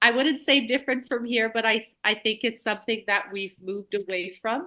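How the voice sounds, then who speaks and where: With a Quebec accent, a woman speaks in a bright, sharp tone with ordinary pitch variation over a quiet background. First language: French. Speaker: elementary school teacher. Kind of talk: casual conversation.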